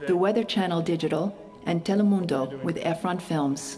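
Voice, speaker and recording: Clear music in the background and a woman with a fairly low pitch. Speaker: voice actor. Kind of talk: live event announcer. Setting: PA system. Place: studio.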